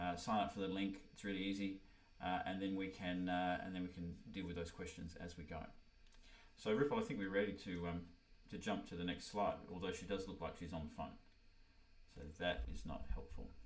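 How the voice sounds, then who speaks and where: A man with an Australian accent speaks at a very deep, low pitch with fairly even intonation. Noticeable background noise and audible room echo fill the recording. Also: fairly quick pace. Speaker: orchestral horn player and music teacher. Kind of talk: online workshop presentation. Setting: video call livestream. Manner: halting, many fillers.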